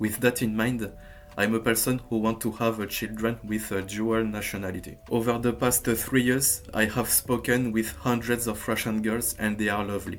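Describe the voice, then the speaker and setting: Speech comes at a moderate pace with a French accent. The intonation is monotone and flat. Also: man. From France. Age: 20s. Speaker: language learning youtuber. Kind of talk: tutorial. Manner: hesitant, with frequent fillers.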